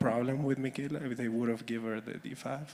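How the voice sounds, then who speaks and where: Speaking with a Spanish accent, a man with a medium-pitched voice keeps his intonation fairly even against noticeable background noise. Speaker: audience member asking a question. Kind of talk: audience question at a conference. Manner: halting.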